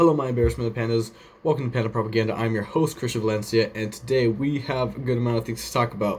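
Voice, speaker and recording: A man with a medium pitch and fairly even intonation talks at a very fast pace. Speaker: podcast host. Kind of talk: casual commentary show.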